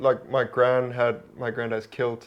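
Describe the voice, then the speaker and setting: A man with a South African accent talks at a fairly slow pace. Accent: South African accent among Scots. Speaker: stand-up comedian. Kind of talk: casual chat.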